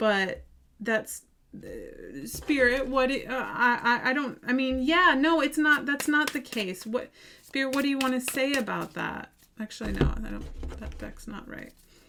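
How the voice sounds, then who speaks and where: A woman with big swings in loudness against noticeable background noise. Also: fairly slow pace. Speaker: tarot reader. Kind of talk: tarot reading. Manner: halting.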